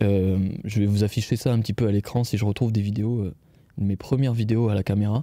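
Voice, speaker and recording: A man's fairly low voice, dark and mellow in tone, with fairly even intonation, a fairly quick pace and very even loudness. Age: 20s. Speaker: video creator and podcast host. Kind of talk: casual solo podcast. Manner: hesitant, many fillers.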